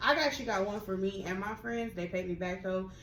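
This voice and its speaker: Noticeable background noise and audible room echo surround a woman with an American accent, medium pitch and ordinary pitch variation. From Texas, Austin area. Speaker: podcast co-host. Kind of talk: casual chat.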